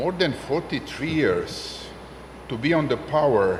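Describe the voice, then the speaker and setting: A man talks in a fairly high pitch. Noticeable background noise and audible room echo surround his voice. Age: 60s. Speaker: senior statesman / former politician. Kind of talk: panel discussion. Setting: conference stage with audience. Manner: halting, many fillers.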